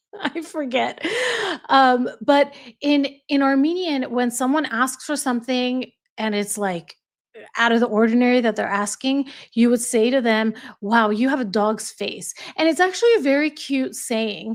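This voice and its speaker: With an American accent, a woman talks at a moderate pace in a high voice with ordinary pitch variation, recorded very cleanly against a silent background. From United States. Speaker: YouTube live streamer. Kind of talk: casual chat. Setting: livestream.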